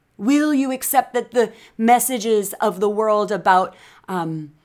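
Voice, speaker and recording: A woman speaks in a fairly high pitch with lively intonation and an animated tone. The recording is very clean, with a silent background. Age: 50s. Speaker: life coach and podcast host. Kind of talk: inspirational monologue.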